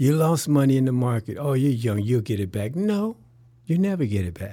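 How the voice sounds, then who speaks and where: A man with an American accent speaks at a moderate pace in a dark, mellow tone. His pitch swings very widely. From Chicago. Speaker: wealth strategist. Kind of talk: interview.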